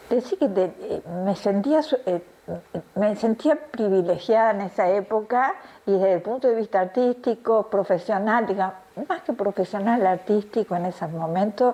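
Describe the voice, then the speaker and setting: Against noticeable background noise, a woman talks at a moderate pace in a medium pitch with ordinary pitch variation. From Argentina, Tucumán. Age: 70s. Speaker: retired ballet dancer. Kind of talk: interview. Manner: halting, with fillers and restarts.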